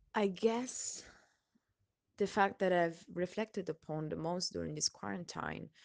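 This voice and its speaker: A woman speaks with an Italian accent. The background is quiet. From Italy. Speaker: person sharing a personal reflection. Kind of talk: personal testimony. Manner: hesitant, with frequent laughs.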